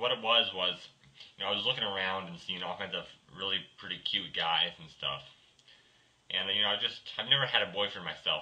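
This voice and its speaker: A man's fairly low-pitched voice at a fairly quick pace, with fairly even intonation, big swings in loudness and long, frequent pauses. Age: 20s. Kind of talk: video blog.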